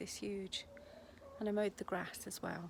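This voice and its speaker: With an English accent, a woman speaks at a moderate pace in a monotone, flat intonation. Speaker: vlogger, home-educating mum. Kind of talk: casual vlog talk to camera. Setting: garden outdoors. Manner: quiet, kept low.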